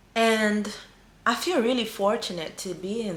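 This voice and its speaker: Heard with audible room echo, a woman with a non-native accent speaks at a medium pitch in a bright, sharp tone. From small African island country. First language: not English. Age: 40s. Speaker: spiritual healer and coach. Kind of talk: spiritual teaching monologue. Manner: mellow.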